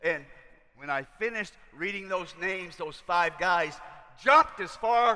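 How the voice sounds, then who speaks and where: A man's raised, projected voice with lively intonation at a moderate pace, amid noticeable background noise. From US South, rural Kentucky. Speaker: missionary preacher. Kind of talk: sermon. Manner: halting.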